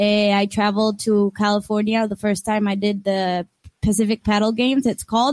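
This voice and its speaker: In a Costa Rican accent, a woman speaks at a moderate pace with a fairly high pitch, in a dry, close sound with no echo. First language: Spanish. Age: 20s. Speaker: paddleboard athlete. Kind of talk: interview.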